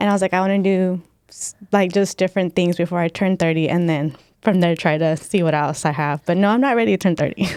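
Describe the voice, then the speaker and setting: A woman's fairly low voice at a very fast pace, with ordinary pitch variation, in a very clean recording with a silent background and a dry, close sound with no echo. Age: 20s. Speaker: personal trainer. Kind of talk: casual chat.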